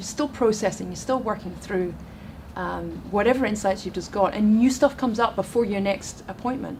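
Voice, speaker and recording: Speaking at a fairly quick pace, a woman with a Scottish accent has a medium pitch and ordinary pitch variation. Background noise is noticeable. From Scotland. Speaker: relationship and dating coach. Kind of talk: interview on chat show.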